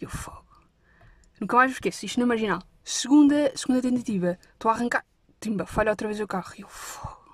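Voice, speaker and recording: Animated and fairly quick, a woman with a fairly high pitch and ordinary pitch variation speaks with long, frequent pauses. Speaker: podcast host. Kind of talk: casual storytelling monologue.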